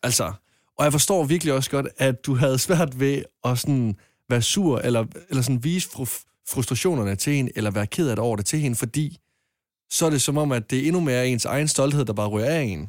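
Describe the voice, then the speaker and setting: With a silent background in a very clean recording, a man speaks in a normal speaking voice at a fairly quick pace. His medium pitch shows ordinary variation. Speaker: caller. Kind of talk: casual chat.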